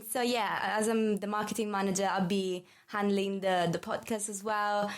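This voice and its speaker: With an Italian accent, a woman is speaking. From Italy. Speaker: marketing manager. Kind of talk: casual chat.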